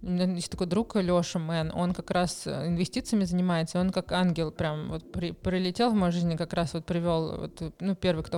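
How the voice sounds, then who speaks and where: A woman's dark, mellow voice, fairly low in pitch, at a moderate pace with fairly even intonation and hardly any pauses. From Moscow, Russia. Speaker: charity founder. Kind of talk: interview. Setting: studio.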